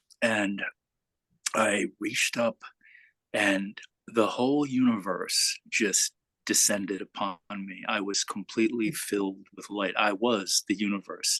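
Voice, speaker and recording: A man's fairly low voice at a fairly slow pace, bright and sharp in tone, with fairly even intonation and a dry, close sound free of echo. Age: 60s. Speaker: satsang participant. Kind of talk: personal sharing in spiritual group.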